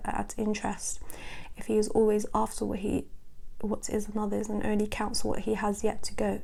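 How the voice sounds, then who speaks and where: The speaker is a woman with a British accent. She talks at a moderate speed. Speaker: ASMR creator. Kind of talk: ASMR book reading.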